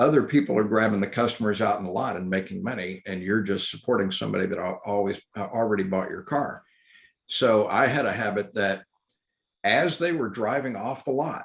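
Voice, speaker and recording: In a Texas accent, a man talks at a fairly quick pace and fairly low pitch with ordinary pitch variation. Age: 60s. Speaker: electric vehicle educator. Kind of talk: talk with questions.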